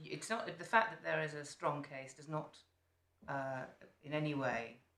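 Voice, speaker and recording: A woman's very deep, low voice with lively intonation and audible room echo. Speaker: appeal court judge. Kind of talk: courtroom questioning. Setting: courtroom.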